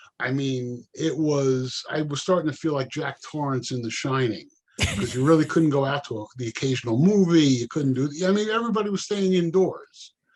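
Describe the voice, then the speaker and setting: With an unremarkable speaking voice, a man speaks at a moderate pace with hardly any pauses, his fairly high pitch carrying lively intonation. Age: 60s. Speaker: retired professional. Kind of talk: casual chat.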